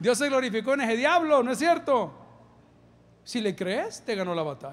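A man's voice at a fairly quick pace, with very wide pitch swings. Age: 50s. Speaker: pastor. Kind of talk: sermon. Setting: church. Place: church. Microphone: handheld.

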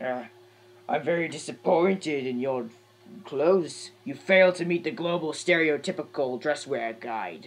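The man's pitch sits fairly high. His intonation is lively. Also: moderate pace. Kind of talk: amateur comic machinima acting. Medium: game stream. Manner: snarky, sarcastic.

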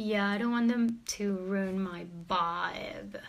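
A woman is speaking. Her intonation stays fairly even. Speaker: live streamer. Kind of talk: casual live-stream chat reading comments. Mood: relaxed, a bit annoyed. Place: home room. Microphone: phone near.

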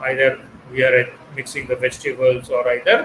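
A man talks while noticeable background noise can be heard. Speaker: culinary instructor. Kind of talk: lecture. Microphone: webcam.

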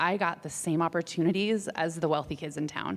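Recorded very cleanly with a silent background, a woman with an American accent talks in a normal speaking voice at a fairly quick pace, her pitch fairly low and her intonation fairly even. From Oregon, Salem area. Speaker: school board candidate. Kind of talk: candidate forum answer.

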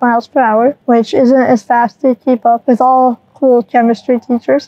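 A woman speaks with an American accent, high in pitch and monotone, with flat intonation. The sound is dry with no echo, over a quiet background. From Michigan, US. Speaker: mechanical engineer; interview guest. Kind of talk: interview. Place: hall. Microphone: lapel.

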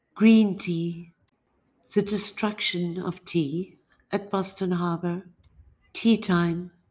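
On a very clean recording with a silent background, a woman speaks very slowly with long, frequent pauses. Her voice is somewhat breathy and medium-pitched, with monotone, flat intonation. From South Africa. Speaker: ESL teacher. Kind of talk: language lesson vocabulary read. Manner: slow, clear.

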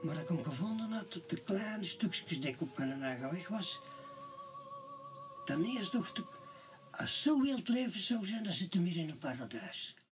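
This man has a high voice and a Flemish accent, his pitch swinging very widely at a moderate pace. He leaves long, frequent pauses while music plays in the background. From Flanders. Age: 70s. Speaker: documentary subject. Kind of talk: documentary interior monologue. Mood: reflective, wistful.

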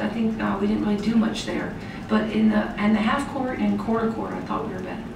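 A woman speaks at a very fast pace. Noticeable background noise and audible room echo fill the recording. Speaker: head coach. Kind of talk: interview answer. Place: meeting room.

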